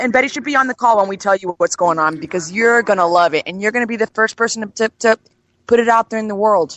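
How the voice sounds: A woman's fast, fairly bright voice at medium pitch, with ordinary pitch variation and an American accent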